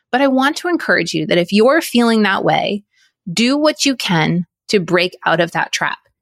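At a moderate pace, a woman speaks in a fairly high pitch with very wide pitch swings, the sound dry and close with no echo in a very clean recording with a silent background. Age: 40s. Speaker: podcast host. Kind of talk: solo monologue podcast.

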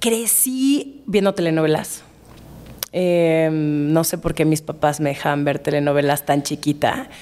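A woman speaks in a very deep, low pitch with ordinary pitch variation and a dark, mellow tone. Her pace is fairly slow and her loudness very even. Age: 30s. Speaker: writer and influencer. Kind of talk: casual chat.

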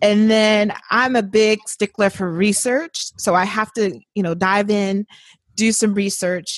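In a normal speaking voice with an American accent, a woman speaks fairly slowly at medium pitch with fairly even intonation, in a dry, close sound with no echo. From Indiana, US Midwest. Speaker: author and writer. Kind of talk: casual interview.

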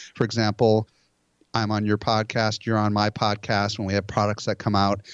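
A man has a plain, everyday voice at medium pitch. He speaks at a moderate pace with a dry, close sound and no echo. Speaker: conference organizer and marketing expert. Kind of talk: casual interview.

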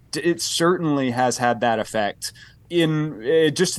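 A man talks with an American accent and ordinary pitch variation. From US South, Tennessee. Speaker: historian of religion, author. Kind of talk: interview discussion. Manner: articulate.

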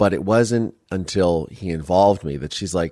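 With a US Midwestern accent, a man speaks at a very deep, low pitch and lively intonation, the sound dry and close with no echo. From US Midwest, Ohio. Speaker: podcast host and documentary filmmaker. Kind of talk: interview testimony. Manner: animated.

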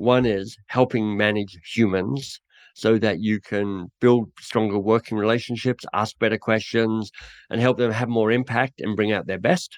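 With an Australian accent, a man talks at a fairly slow pace and medium pitch, his intonation fairly even, in a dry, close recording with no echo. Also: quiet background. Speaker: author and coaching trainer. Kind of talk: interview conversation.

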